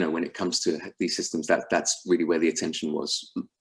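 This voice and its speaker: A man is speaking. He has a London accent. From England, London. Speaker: sales executive at a fintech company. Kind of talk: business call presentation. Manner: animated.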